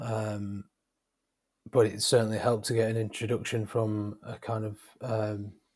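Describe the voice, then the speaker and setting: A man's fairly low, somewhat breathy voice in a flat monotone, broken by long, frequent pauses. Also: moderate pace. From northern England, Wigan. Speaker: freelance graphic designer. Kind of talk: interview. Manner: halting, many fillers.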